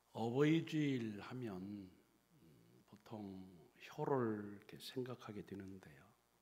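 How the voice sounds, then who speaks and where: Amid audible room echo, a man speaks very slowly in a fairly low, dark and mellow voice, with lively intonation and long, frequent pauses. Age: 70s. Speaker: retired pastor. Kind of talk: sermon. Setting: church.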